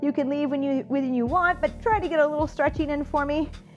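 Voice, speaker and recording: The speech moves at a moderate pace while faint music plays in the background. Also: woman. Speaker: fitness instructor. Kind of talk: workout instruction. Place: studio.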